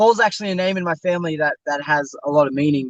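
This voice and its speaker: Fairly quick in pace, a man with an Australian accent speaks with ordinary pitch variation. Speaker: stunt performer and actor. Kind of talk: interview. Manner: casual, halting with fillers.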